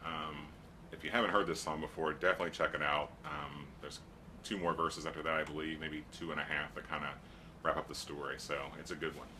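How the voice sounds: A man with an extremely low pitch talks at a fairly quick pace, his pitch moving little.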